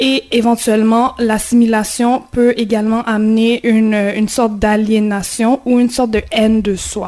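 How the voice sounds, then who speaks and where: Over noticeable background noise, a woman speaks with hardly any pauses in a fairly high pitch and a monotone, flat intonation. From Haiti. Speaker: community radio host. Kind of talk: radio discussion. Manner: halting.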